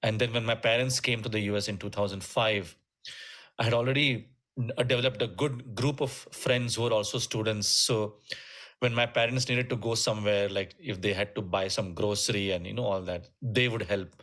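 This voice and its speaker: A man with a Keralan accent, medium pitch, fairly even intonation and a fairly quick pace. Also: very clean recording, silent background. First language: Malayalam. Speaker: musician and music teacher. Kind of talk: interview conversation. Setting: podcast interview. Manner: halting, many fillers.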